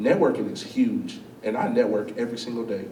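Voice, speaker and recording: In an animated tone, a man with a fairly high pitch speaks with very wide pitch swings, and audible room echo fills the space. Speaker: chef and business owner. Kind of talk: school talk, Q&A. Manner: loud.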